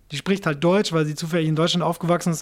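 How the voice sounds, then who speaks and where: This man's pitch is high. He talks at a very fast pace. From Japan, then Swabia from age 11. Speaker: rapper. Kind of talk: interview.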